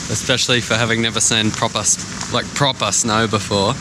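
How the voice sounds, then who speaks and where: An Australian accent marks this man's medium-pitched voice. He talks at a moderate pace amid noticeable background noise. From Australia (Sydney). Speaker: travel vlogger. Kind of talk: casual vlog narration. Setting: outdoors at night in snow. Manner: animated. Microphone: muffled, speaking through jacket.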